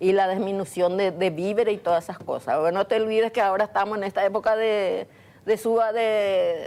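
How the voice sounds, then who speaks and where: A woman speaks at a medium pitch and a fairly quick pace. Her tone is dark and mellow, with fairly even intonation. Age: 60s. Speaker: domestic worker, community volunteer. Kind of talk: TV studio interview.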